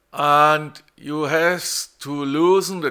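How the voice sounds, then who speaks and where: A man speaks in a German accent with a fairly high pitch. The recording is very clean, with a silent background. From Germany. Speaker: car repair tutorial maker. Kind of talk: tutorial. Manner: halting, many repeated words.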